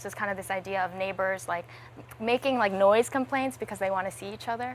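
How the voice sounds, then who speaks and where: Talking very fast, a woman in a New York accent uses a medium pitch. Her voice swings very widely in pitch. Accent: American (New York). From US, New York City. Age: 20s. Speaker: singer-songwriter and streamer. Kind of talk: casual interview chat.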